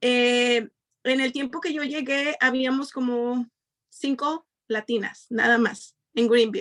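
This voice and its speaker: A woman with a Mexican accent speaks at a fairly slow pace in a high voice, her intonation fairly even and the sound dry and close with no echo. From Mexico, Nayarit. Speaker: community member. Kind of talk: panel discussion.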